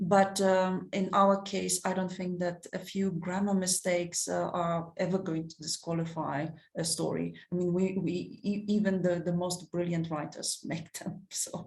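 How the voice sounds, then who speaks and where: This woman, with a non-native accent, talks at a fairly slow pace with hardly any pauses, her fairly low, somewhat breathy voice staying monotone and flat. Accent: noticeable non-native. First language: not English (English is third language). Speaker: short story competition editor. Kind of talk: webinar Q&A. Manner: halting, many fillers and repetitions.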